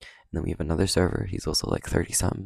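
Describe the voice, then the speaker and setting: On a very clean recording with a silent background and a dry, close sound with no echo, the voice shows vocal fry and ordinary pitch variation. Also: man. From Canada. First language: Cantonese. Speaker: podcast host. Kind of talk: casual monologue. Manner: casual, filler-heavy.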